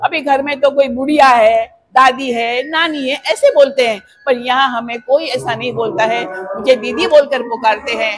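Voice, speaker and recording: With music playing in the background, a woman speaks at a high pitch with ordinary pitch variation. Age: 70s. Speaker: retired vice principal. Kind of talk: interview testimony.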